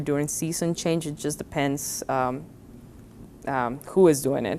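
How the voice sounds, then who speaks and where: In a Spanish accent, a woman speaks at a fairly slow pace with ordinary pitch variation. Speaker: college professor. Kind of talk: interview.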